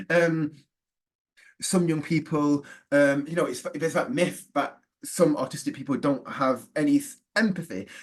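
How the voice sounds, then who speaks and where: A man with a fairly high pitch and a British accent. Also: ordinary pitch variation. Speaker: neurodiversity trainer and forest school leader. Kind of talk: webinar presentation. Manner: fast.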